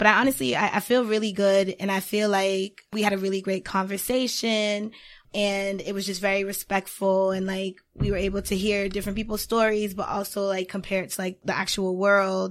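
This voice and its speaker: A woman talks at a fairly quick pace in a medium-pitched voice with monotone, flat intonation. The recording is very clean, with a silent background. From Haiti, then Boston area. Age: 20s. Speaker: public relations professional and writer. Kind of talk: casual chat.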